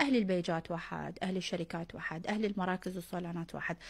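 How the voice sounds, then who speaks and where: Very fast and somewhat breathy, a woman with a Baghdad accent speaks on a very clean recording with a silent background. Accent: Baghdadi Iraqi Arabic. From Iraq, Baghdad. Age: 20s. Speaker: social media influencer. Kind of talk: street interview.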